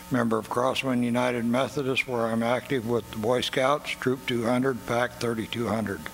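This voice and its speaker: The speaker talks at a moderate pace in a flat monotone. Music plays in the background. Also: man. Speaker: city council candidate, Vietnam veteran. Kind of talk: opening statement at forum. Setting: candidate forum at performing arts center.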